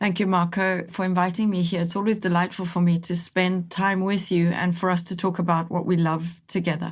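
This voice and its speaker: A somewhat breathy woman's voice at a fairly low pitch, fairly quick pace and monotone, flat intonation, with hardly any pauses, in a very clean recording with a silent background. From Italy. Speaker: team coach. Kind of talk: podcast interview. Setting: studio.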